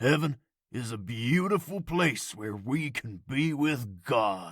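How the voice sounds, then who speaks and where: In a raspy put-on character voice, the speaker goes at a fairly slow pace on a very clean recording with a silent background. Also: man, medium pitch for a man. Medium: read story. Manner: warm, kindly.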